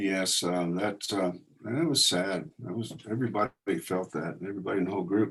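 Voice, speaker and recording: A man with an American accent speaks fairly quickly at a fairly low pitch with ordinary pitch variation, in a plain, everyday voice. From Indiana. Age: 60s. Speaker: war veteran. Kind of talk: talk to a group.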